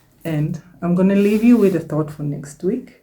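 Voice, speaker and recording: In a non-native accent, a woman talks with a dark, mellow tone. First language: not English. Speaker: self-help YouTuber and author. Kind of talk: casual vlog talk to camera. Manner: warm, encouraging.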